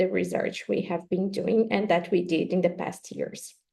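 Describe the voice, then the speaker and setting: The speaker is a woman with a Brazilian Portuguese accent. She talks at a fairly quick pace. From southern Brazil. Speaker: professor. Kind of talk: webinar lecture.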